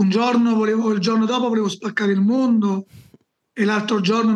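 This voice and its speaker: With a high pitch, a man talks at a fairly quick pace. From southern Italy, Campania (Salerno area). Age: 40s. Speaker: evangelist. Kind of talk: interview testimony.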